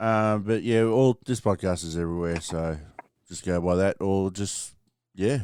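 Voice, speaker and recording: The recording is very clean, with a silent background. A man with a fairly low pitch talks at a moderate pace with ordinary pitch variation. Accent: Australian. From Australia (Victoria). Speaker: podcast co-host. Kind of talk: casual chat.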